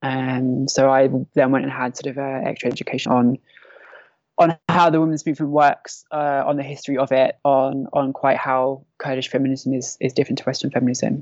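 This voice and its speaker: Very deep and low, this woman's voice comes in a London accent. She speaks at a fairly quick pace with monotone, flat intonation. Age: 30s. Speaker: civil defence volunteer. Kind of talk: interview.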